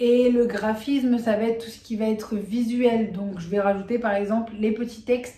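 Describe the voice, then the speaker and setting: A woman talks at a fairly slow pace, with audible echo in the room. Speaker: video creator. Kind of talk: tutorial. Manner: hesitant fillers.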